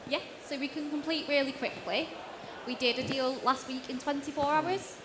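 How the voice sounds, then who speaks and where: Noticeable background noise sits behind a woman's voice. She speaks high and in a monotone, flat intonation. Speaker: auction finance lender. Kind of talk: panel Q&A. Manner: fast.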